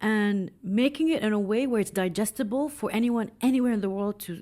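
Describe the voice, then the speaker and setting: In an Arabic accent, a woman talks with a dark, mellow tone. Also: very clean recording, silent background. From UAE, Dubai. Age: 40s. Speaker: film director. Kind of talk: interview conversation.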